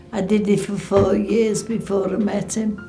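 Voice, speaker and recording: Music plays in the background and the room echo is audible. A woman speaks at a fairly slow pace. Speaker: war veteran's wife. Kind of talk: testimony.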